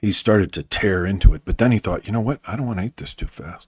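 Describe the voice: Text is being read in a plain way. It comes across as plain reading aloud.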